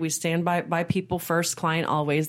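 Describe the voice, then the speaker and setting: At a moderate pace, a woman with a very deep, low pitch speaks in a monotone, flat way on a very clean recording with a silent background. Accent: American. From Texas, Austin. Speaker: business owner. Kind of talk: interview.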